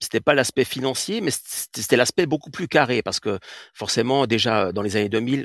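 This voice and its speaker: This man has a normal speaking voice at a medium pitch. He moves at a moderate pace with lively intonation. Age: 40s. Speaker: artist. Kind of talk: interview. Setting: live audio room.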